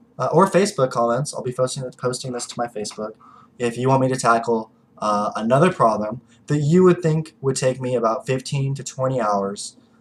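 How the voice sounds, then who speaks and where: Medium in pitch with ordinary variation, a man speaks at a fairly quick pace. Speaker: video blogger analyzing policy. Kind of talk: casual explanatory monologue. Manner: hesitant, many fillers.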